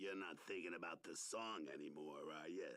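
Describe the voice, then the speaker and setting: In a raspy, cartoonish character voice, a man speaks at a very deep, low pitch. His pace is fairly quick and his pitch variation ordinary. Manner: laid-back, deadpan.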